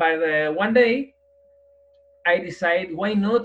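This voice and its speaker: A man with a strong Spanish accent speaks with lively intonation. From Madrid, Spain. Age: 40s. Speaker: guest, para-athlete with spinal cord injury. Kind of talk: interview. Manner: halting, searching for words.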